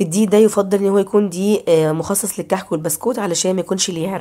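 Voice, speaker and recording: At a very fast pace, a woman talks with a medium pitch, a dark, mellow tone and ordinary pitch variation. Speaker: cooking channel host. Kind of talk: cooking tutorial.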